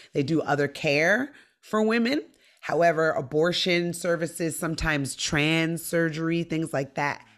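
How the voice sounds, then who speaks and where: A woman in an animated tone, fairly low in pitch, over a quiet background. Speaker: stand-up comedian. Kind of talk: casual chat. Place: home room.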